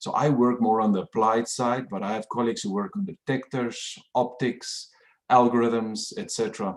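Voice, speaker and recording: At a moderate pace and medium pitch, a man with a South African accent speaks with ordinary pitch variation. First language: Afrikaans. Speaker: professor. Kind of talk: lecture.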